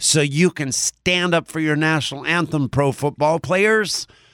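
On a very clean recording with a silent background and a dry, close sound with no echo, a man with an American accent and an unremarkable speaking voice talks at a fairly slow pace and fairly high pitch. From Southern California. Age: 50s. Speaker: talk radio host, county party chairman. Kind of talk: angry political rant, scolding and lecturing. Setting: radio studio. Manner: indignant, fired-up, hammering short accusatory sentences.

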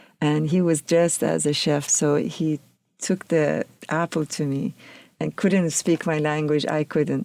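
A woman with a Persian accent speaks at a fairly slow pace with a very deep, low pitch, a dark, mellow tone, and fairly even intonation. The recording is very clean with a silent background and a dry, close sound with no echo. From Iran, Tehran. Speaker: professor. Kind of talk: interview testimony.

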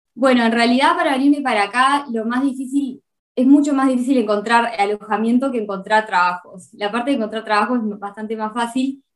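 With a Uruguayan accent, a woman speaks at a fairly quick pace and hardly pauses. Her pitch sits fairly high, with ordinary variation. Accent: Rioplatense Spanish (Uruguayan). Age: 20s. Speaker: accountant. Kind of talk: interview. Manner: hesitant, many fillers and repetitions.

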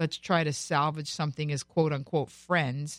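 A woman talks at a moderate pace with an American accent. The sound is dry and close, with no echo. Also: very clean recording, silent background. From Florida. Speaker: radio host. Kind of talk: radio talk show.

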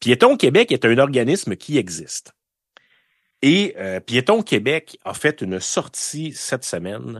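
Over a quiet background, a man with a medium pitch talks at a very slow pace, the sound dry and close with no echo. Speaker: political commentator. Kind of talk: heated debate.

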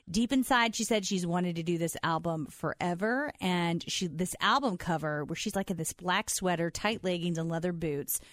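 An unremarkable speaking voice with ordinary pitch variation and hardly any pauses, in a very clean recording with a silent background. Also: woman. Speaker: radio host. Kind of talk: casual radio chat.

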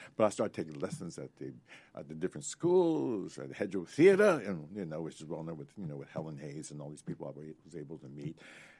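A man with an American accent speaks at a very fast pace in a very deep, low pitch. His dark, mellow tone comes with big swings in loudness. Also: ordinary pitch variation. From Pennsylvania, near Philadelphia. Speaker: veteran actor. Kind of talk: interview.

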